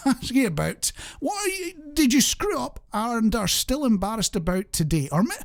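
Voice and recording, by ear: At a moderate pace, a man speaks with a high pitch and big pitch swings.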